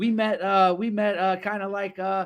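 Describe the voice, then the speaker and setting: A man's high-pitched voice with an American accent, at a moderate pace. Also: very clean recording, silent background. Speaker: livestream show host. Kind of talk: livestream talk show.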